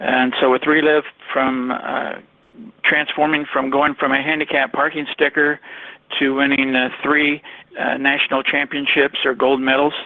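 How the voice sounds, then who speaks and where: A man with a fairly high pitch speaks at a moderate pace in a monotone, flat intonation and very even loudness, over noticeable background noise. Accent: American. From Ohio. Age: 60s. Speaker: network marketer. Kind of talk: testimony. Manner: halting, many fillers.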